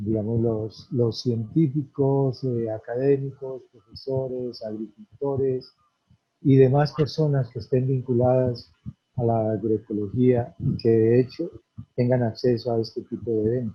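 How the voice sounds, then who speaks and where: A man with a plain, everyday voice speaks at a fairly slow pace. His pitch is medium and his intonation fairly even. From Colombia, Antioquia/Caldas paisa region. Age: 60s. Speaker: farmer and community leader. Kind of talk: conference talk.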